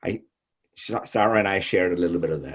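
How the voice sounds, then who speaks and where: This man has a very deep, low pitch with ordinary pitch variation. He talks at a fairly quick pace. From Mexico. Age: 60s. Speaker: author. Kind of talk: panel discussion. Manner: halting.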